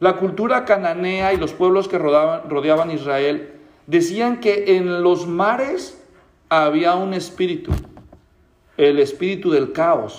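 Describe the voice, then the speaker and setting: A man's high-pitched voice moves at a very slow pace, its pitch varying in an ordinary way. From Mexico, Guadalajara. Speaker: pastor. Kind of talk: sermon.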